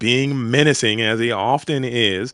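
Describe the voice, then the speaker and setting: Sounding animated, a man speaks with an American accent at a medium pitch. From US South, Georgia (Atlanta area). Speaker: esports caster. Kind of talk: live commentary.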